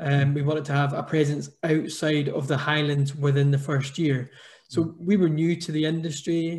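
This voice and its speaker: Somewhat breathy and fairly high-pitched, a man speaks at a moderate pace with monotone, flat intonation over a quiet background. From Scotland. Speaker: business founder; panelist. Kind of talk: panel discussion. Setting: video call. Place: home room. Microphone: video call.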